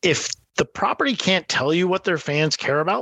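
A man talks in an unremarkable speaking voice at a moderate pace with ordinary pitch variation. The sound is dry and close, with no echo. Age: 40s. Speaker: sports technology entrepreneur. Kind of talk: interview.

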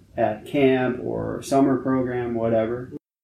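Fairly even in intonation, a man's dark, mellow voice at medium pitch carries audible room echo. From New York City, Manhattan. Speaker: photographer. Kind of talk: interview conversation. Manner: halting, many fillers.

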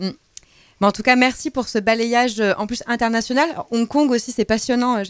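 Speaking at a fairly quick pace, a woman with a fairly high pitch and ordinary pitch variation is heard in a dry, close sound with no echo. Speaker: radio host. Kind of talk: casual chat. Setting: studio. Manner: halting.

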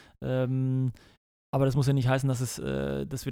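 In a slight Bavarian accent, the voice moves at a fairly quick pace with a dark, mellow tone on a very clean recording with a silent background. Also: man. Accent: little Bavarian accent audible. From Bavaria, Germany (Kelheim, Unterhaching). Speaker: professional football goalkeeper. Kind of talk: casual interview.

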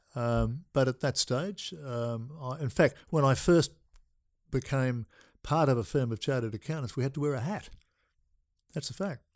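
This man talks at a moderate pace in an Australian accent, with a medium pitch, ordinary pitch variation, and long, frequent pauses, all on a very clean recording with a silent background. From South Australia. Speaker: retired accountant. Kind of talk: casual chat.

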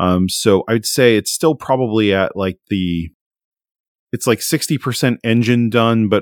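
A man with an ordinary speaking voice at a fairly slow pace, ordinary pitch variation, a dry, close sound with no echo, and a very clean recording with a silent background. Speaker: homebrew programmer and streamer. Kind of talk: casual interview chat.

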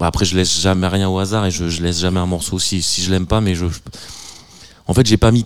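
Against noticeable background noise, a man with a very deep, low pitch talks at a very fast pace, with fairly even intonation and long, frequent pauses. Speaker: DJ and music producer. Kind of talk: interview. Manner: halting.

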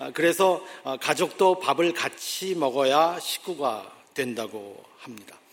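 A man with a fairly high pitch talks at a very slow pace with lively intonation over noticeable background noise. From South Korea. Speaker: pastor. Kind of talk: sermon. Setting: church.

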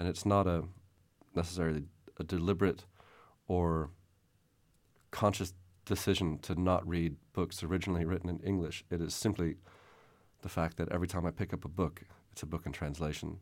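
On a very clean recording with a silent background, a man with a Texan accent and a very deep, low pitch talks fairly quickly with fairly even intonation and long, frequent pauses. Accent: Texan American. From Texas, San Antonio. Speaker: novelist. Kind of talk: interview.

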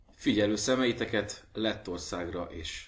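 A man with a fairly low pitch speaks at a moderate pace in a somewhat breathy voice with ordinary pitch variation. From Hungary. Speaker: podcast host. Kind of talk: casual chat.

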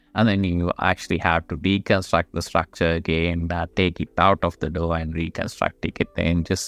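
A man's very deep, low voice at a moderate pace with fairly even intonation and hardly any pauses, dry and close with no echo over a quiet background. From Sri Lanka. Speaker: head of data science and analytics. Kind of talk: podcast interview.

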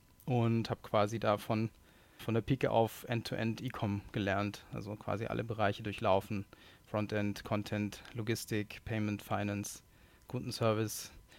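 In a monotone, flat intonation, a man with a fairly low pitch talks at a moderate pace. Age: 30s. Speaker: e-commerce executive. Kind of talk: interview. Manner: hesitant with fillers.

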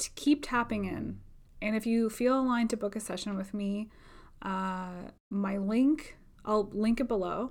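A woman with a plain, everyday voice, fairly high pitch and ordinary pitch variation, speaking at a fairly slow pace in a very clean recording against a silent background. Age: 20s. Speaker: spiritual healer and podcast host. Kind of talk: solo monologue podcast. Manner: frequent laughter.

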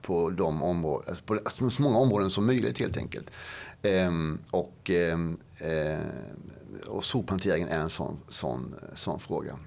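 Lively intonation and vocal fry come through at a fairly slow pace. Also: man. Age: 50s. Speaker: policy expert and author. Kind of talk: interview conversation. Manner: halting, with many fillers and repetitions.

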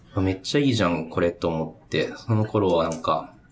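A man talks at a moderate pace with a very deep, low pitch. Noticeable background noise can be heard. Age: 30s. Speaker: software engineer. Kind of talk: casual chat.

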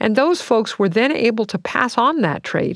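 At a moderate pace, a woman with a plain, everyday voice uses lively intonation on a very clean recording with a silent background. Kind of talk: audiobook reading. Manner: measured, even, formal narration; clear explanatory tone.

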